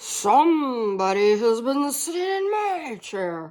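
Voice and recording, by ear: A female-sounding put-on character voice, fairly high and fairly slow, with very wide pitch swings.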